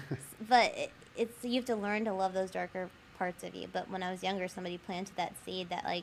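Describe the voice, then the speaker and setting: A woman talks at a very fast pace, at medium pitch. Her intonation is fairly even, with vocal fry. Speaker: licensed professional counselor. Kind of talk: podcast interview. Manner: casual, many fillers.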